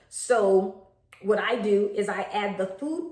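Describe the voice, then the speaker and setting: Her voice sits at a medium pitch. The room gives off audible echo. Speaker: home daycare provider. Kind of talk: tutorial.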